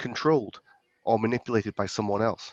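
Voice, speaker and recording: This man speaks with a British accent at a moderate pace. His intonation is fairly even, and the sound is dry and close with no echo. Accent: UK. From UK. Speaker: compliance expert, former police officer. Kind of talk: interview. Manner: halting, frequent repetitions.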